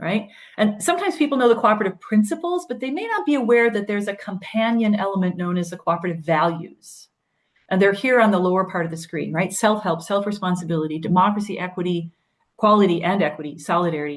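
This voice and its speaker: A woman talks very fast in an American accent. Her pitch sits in the middle range. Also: ordinary pitch variation. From US Midwest, Wisconsin. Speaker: cooperative movement speaker. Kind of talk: webinar presentation.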